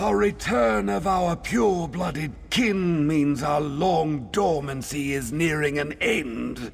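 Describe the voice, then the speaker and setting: A man's put-on character voice, fairly high in pitch, with hardly any pauses over clear background noise. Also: fairly slow pace. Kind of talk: regal formal speech. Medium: video game. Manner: haughty, commanding.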